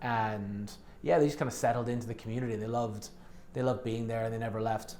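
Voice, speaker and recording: In a Dublin accent, a man talks at a very fast pace and medium pitch, his intonation flat and monotone, with audible room echo. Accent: posh Dublin Irish. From Turks and Caicos, schooled in Ireland. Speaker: real estate agent. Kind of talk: casual interview chat.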